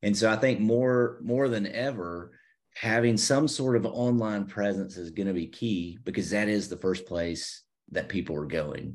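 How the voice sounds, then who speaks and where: With an American accent and a plain, everyday voice, a man speaks at a moderate pace and fairly low pitch, with ordinary pitch variation over a quiet background. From US South, Savannah, Georgia. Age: 40s. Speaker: church website designer. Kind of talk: casual interview chat.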